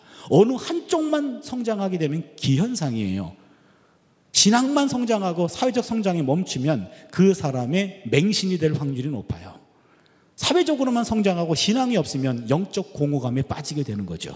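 Against noticeable background noise, a man talks at a moderate pace in a high voice with very wide pitch swings. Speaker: Old Testament professor preaching. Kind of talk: sermon.

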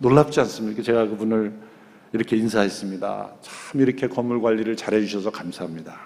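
This man talks at a fairly quick pace with a medium pitch. He has an ordinary speaking voice. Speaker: pastor. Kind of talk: sermon.

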